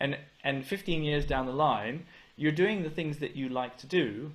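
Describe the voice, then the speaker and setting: This man has an ordinary speaking voice with ordinary pitch variation. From Canada. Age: 30s. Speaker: singer and conductor. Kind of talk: casual chat. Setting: video call.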